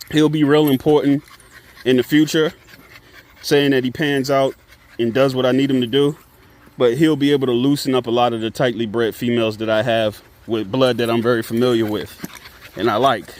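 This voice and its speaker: Speaking fairly quickly in a relaxed tone with long, frequent pauses, a man with a medium pitch is heard over noticeable background noise. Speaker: dog breeder. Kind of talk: casual vlog. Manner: casual, relaxed.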